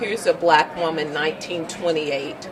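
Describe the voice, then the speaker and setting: A woman's fairly low voice at a fairly slow pace, over noticeable background noise. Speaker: documentary film director. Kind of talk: interview answer.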